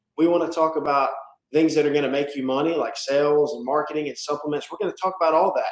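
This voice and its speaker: Talking at a very fast pace, a man with a Southern US accent has a fairly high-pitched voice. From South Carolina, US South. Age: 20s. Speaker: roofing company owner. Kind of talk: casual interview.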